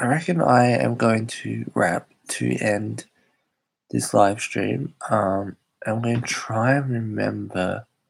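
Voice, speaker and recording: A man with an Australian accent at a very slow pace. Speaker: YouTuber hosting live chat stream. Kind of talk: casual live stream chat. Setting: live stream.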